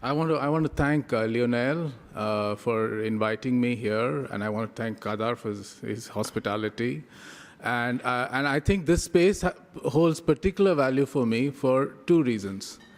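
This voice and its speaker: A man in an Indian accent, moderate in pace, with lively intonation. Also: medium pitch for a man. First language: Tamil. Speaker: professor. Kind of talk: lecture. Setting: conference with audience.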